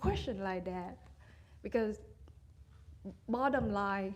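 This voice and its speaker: Someone speaks at a fairly slow pace with a Vietnamese accent. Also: woman. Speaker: meditation retreat participant. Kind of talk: question and sharing at dharma talk. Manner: halting.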